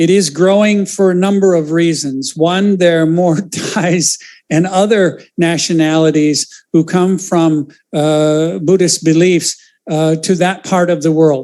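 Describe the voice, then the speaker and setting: Pitched high for a man, this voice has a dark, mellow tone, fairly even intonation and very even loudness. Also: fairly slow pace. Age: 60s. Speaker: lay Buddhist practitioner. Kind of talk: panel discussion.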